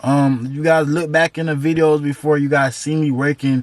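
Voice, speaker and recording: Fairly even in intonation, a man speaks in a normal speaking voice at a fairly high pitch. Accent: American. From Florida (Tampa). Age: 20s. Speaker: entrepreneur YouTuber. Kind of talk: casual vlog storytelling. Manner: casual, filler-heavy.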